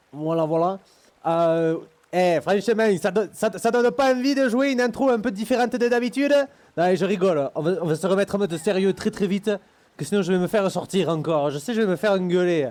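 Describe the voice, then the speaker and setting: A man talks at a fairly quick pace with lively intonation. His pitch is high. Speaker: gaming streamer. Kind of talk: casual chat. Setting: live stream. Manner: animated.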